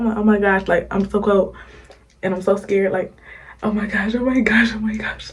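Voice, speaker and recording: A woman whispers at a fairly quick pace. Her voice is somewhat breathy. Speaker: YouTuber. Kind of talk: storytime. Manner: whispering.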